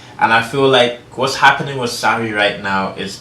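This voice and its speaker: A man talks at a moderate pace and medium pitch. Noticeable background noise and audible room echo surround him. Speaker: sports channel host. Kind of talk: casual sports commentary vlog.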